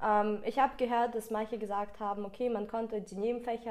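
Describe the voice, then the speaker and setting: Fairly quick and monotone, with flat intonation, a woman speaks at a fairly high pitch with a Russian accent. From Ukraine. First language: Russian (speaking German). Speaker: school graduate, student politician. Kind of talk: interview.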